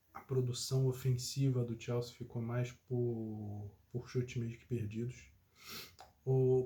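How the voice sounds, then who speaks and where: Somewhat breathy and dark, mellow in tone, a man speaks at a medium pitch and a fairly slow pace. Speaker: football commentator. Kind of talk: casual chat.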